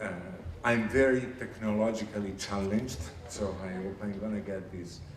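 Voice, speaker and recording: In an Italian accent, a man speaks at a moderate pace with a fairly low pitch, amid audible room echo and noticeable background noise. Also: fairly even intonation. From Italy. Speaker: international finance organization staff presenter. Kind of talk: recruitment presentation. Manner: hesitant with fillers.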